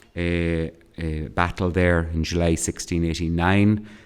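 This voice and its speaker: Someone with an Irish accent speaks at a fairly slow pace in a very clean recording with a silent background. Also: man. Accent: Cavan. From Ireland, County Cavan. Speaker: academic historian and geographer. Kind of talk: keynote lecture. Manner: hesitant, many fillers and repetitions.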